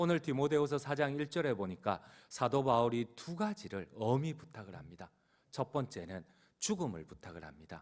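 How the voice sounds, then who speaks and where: A man at medium pitch and moderate pace, with very wide pitch swings and big swings in loudness, on a very clean recording with a silent background. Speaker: pastor. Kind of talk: sermon. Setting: church.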